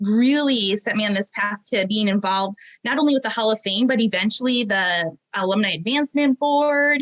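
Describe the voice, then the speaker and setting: Speaking in a Minnesotan accent, a woman uses a fairly high pitch, ordinary pitch variation, very even loudness, and a moderate pace. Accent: Minnesota. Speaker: aerospace professional. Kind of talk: interview.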